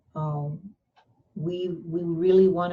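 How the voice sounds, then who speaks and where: Somewhat breathy, with a dark, mellow tone and a fairly low pitch, a woman speaks in a monotone, flat intonation. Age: 70s. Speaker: community college board president. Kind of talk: interview. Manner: halting.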